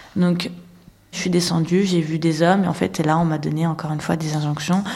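A woman speaks fairly quickly in a monotone, flat intonation while noticeable background noise carries on. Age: 30s. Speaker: abuse survivor. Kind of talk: testimony. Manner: halting.

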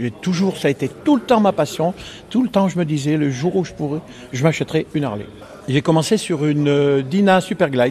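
A fairly high-pitched man at a fairly quick pace, lively in intonation, amid noticeable background noise. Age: 70s. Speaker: biker club member. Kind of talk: casual interview.

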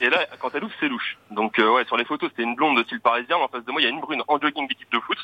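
This man speaks at a very fast pace with a fairly high pitch. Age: 20s. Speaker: caller. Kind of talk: anecdote.

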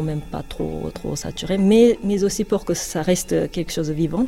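With a Japanese accent, a woman talks at a fairly slow pace in a fairly low pitch with ordinary pitch variation, amid noticeable background noise. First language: Japanese (speaking French). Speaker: composer and butoh dancer. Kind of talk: interview. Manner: halting.

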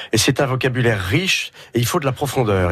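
A man speaks at medium pitch and a moderate pace with lively intonation. He has an unremarkable speaking voice. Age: 50s. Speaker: painter. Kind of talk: radio interview.

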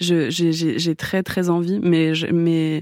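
A woman's fairly low-pitched voice, dark and mellow in tone, with fairly even intonation. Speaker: singer-songwriter. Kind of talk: radio interview. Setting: radio studio.

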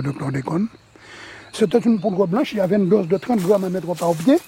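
Over noticeable background noise, a man rattles along very fast in a high voice. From Guadeloupe. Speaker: banana farmer. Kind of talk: interview.

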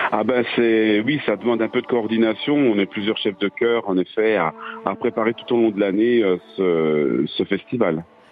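A man's fairly low voice at a moderate pace, very even in loudness, with ordinary pitch variation and noticeable background noise. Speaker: choir festival organizer and choir conductor. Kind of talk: radio interview.

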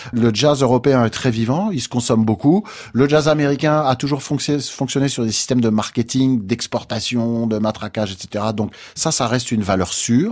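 Recorded very cleanly against a silent background, a man of medium pitch speaks at a moderate pace with ordinary pitch variation in an ordinary speaking voice. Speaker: jazz pianist. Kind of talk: interview.

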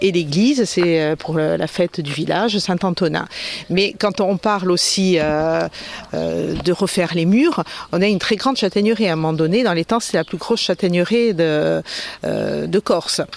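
This man has a high pitch, ordinary pitch variation and a moderate pace. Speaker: heritage association president. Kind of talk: interview. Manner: hesitant, many fillers.

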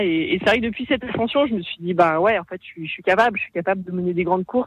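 A woman talks at a very fast pace. Her medium pitch shows ordinary pitch variation. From Haute-Savoie, France. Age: 30s. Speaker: mountain guide and police rescuer. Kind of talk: radio interview. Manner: hesitant.

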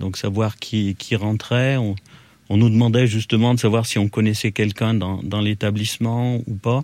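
A man with a fairly low pitch speaks in a monotone, flat way at a fairly slow pace. The recording is very clean, with a silent background. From Loire, France (Roche-la-Molière). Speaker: former arms factory worker and trade unionist. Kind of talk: interview testimony. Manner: halting, with repetitions.

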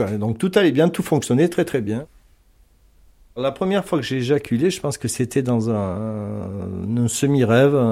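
A man's medium-pitched, dark and mellow voice with lively intonation at a fairly slow pace, on a very clean recording with a silent background. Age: 60s. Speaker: retired electrician. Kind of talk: personal testimony. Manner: halting.

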